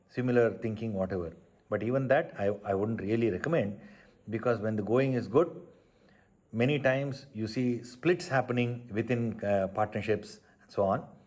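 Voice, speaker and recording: A man at a medium pitch and moderate pace, with big swings in loudness. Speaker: entrepreneur, multiplex theatre owner. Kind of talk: career advice talk to camera. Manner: soft-spoken.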